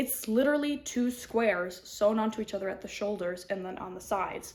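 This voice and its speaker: A woman at a fairly quick pace, with a fairly high pitch. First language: not English. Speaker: knitting podcaster. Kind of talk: casual chat. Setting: home kitchen.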